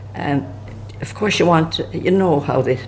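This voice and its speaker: A man with lively intonation speaks at a moderate pace against noticeable background noise. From rural Ireland. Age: 80s+. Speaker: elderly emigrant recalling history. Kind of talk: oral history storytelling. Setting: pub. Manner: halting, with false starts.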